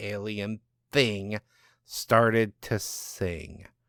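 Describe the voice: A man's fairly low voice, fairly bright and clear and smooth in tone, with ordinary pitch variation, at a very slow pace, on a very clean recording with a silent background.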